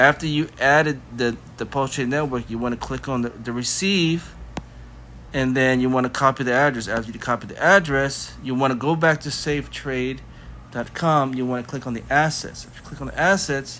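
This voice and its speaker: In an ordinary speaking voice, the speaker keeps a moderate pace and fairly even intonation while the loudness swings widely. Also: man, medium pitch for a man. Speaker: crypto tutorial youtuber. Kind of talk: tutorial. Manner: casual, filler-heavy.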